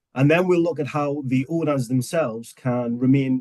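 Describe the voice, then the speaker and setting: In an English accent, a man talks at a moderate pace and medium pitch with ordinary pitch variation, the sound dry and close with no echo. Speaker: webinar host, software customer success manager. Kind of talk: webinar presentation.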